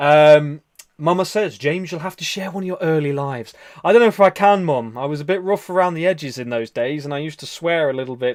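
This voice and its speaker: A man with an English Midlands accent talks at a very fast pace, his pitch fairly high with ordinary variation. His loudness swings widely. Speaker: live stream host and meditation leader. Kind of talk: casual live stream chat reading comments.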